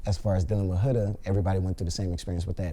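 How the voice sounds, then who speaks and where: A man with an American accent speaks in a very deep, low pitch, his tone dark, mellow and somewhat breathy. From Los Angeles, US. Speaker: reality TV contestant. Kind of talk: interview. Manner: casual, filler-heavy.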